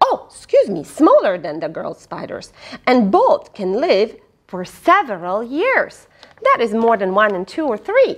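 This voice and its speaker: With a quiet background, a woman speaks at a fairly slow pace, her loudness swinging widely. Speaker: storyteller reading to children. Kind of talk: children's read-aloud storytelling. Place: home room.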